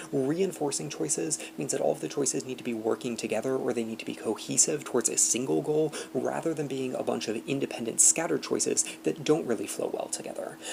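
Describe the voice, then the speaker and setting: Over noticeable background noise, a man speaks at a very fast pace with hardly any pauses and very wide pitch swings. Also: medium pitch for a man. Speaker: debate coach. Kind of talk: lecture. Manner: reading from a script.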